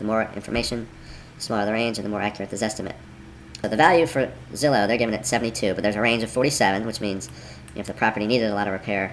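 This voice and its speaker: A man rattles off his words very fast, his pitch varying in an ordinary way, while noticeable background noise sits behind him. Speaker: real estate investor. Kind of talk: screen-recorded tutorial. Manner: casual, conversational.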